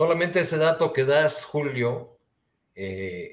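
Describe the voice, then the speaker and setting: Somewhat breathy, a man talks with lively intonation at a fairly slow pace. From Mexico. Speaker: journalist. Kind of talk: panel discussion; political commentary. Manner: halting. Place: home room.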